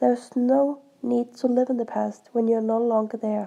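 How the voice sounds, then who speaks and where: This woman has a high-pitched voice with a dark, mellow tone. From Denmark. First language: Danish. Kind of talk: casual talk to camera.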